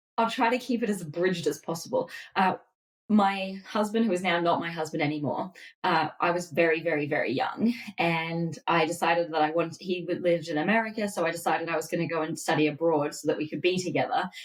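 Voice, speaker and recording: Here a woman speaks at a very fast pace. Her pitch variation is ordinary. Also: fairly low pitch for a woman. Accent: Australian. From Australia, Melbourne. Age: 30s. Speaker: dietitian. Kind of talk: podcast interview.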